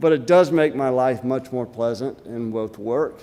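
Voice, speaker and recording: A man's dark, mellow voice in an Alabama accent. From US South, Alabama. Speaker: conference speaker, portfolio manager. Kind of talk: conference talk. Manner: hesitant, many fillers.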